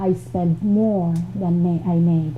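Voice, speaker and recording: A woman speaks in a Filipino accent with a somewhat breathy voice. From Philippines. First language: Filipino language. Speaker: motivational speaker. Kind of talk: motivational talk.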